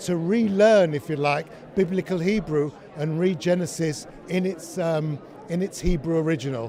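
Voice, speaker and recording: A man with a fairly high pitch is heard through noticeable background noise. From London, England. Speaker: narrator. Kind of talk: testimonial interview.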